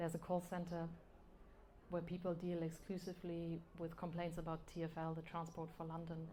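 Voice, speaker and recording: Her fairly low voice carries some audible room echo. The woman speaks at a fairly quick pace. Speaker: novelist. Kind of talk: live interview. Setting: live event with audience. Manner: hesitant, with fillers.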